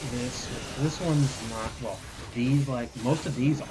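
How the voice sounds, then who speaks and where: Against noticeable background noise and audible room echo, a man talks at a medium pitch with ordinary pitch variation. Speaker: video game streamer. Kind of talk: casual chat. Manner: soft-spoken. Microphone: voice a bit quiet on stream.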